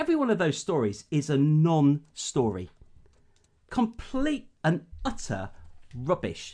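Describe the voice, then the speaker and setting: A man with an English accent speaks in a dark, mellow tone at a fairly slow pace, with very wide pitch swings. His pauses are long and frequent, and his loudness is very even. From UK, rural agricultural background. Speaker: podcast co-host. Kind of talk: casual chat.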